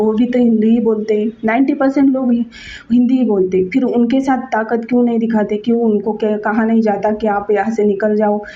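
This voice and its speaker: Over noticeable background noise, a woman with a Marathi accent speaks at a moderate pace with hardly any pauses, her fairly high pitch held in monotone, flat intonation at very even loudness. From Maharashtra, India. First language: Marathi (speaking Hindi). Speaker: video blogger. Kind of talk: opinion monologue. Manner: halting, with fillers and restarts.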